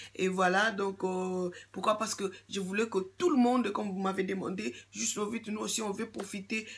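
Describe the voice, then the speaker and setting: At a moderate pace, a woman with a somewhat breathy voice of medium pitch speaks with fairly even intonation. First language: English (speaking French). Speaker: YouTuber giving skin care advice. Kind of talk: casual vlog monologue. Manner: halting, many fillers and repetitions.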